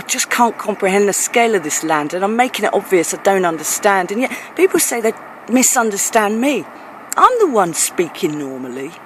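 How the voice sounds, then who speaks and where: A woman with an American accent, medium pitch and very wide pitch swings, fairly quick, with noticeable background noise. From England. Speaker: performance poet. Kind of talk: spoken word poetry performance. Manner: rhythmic.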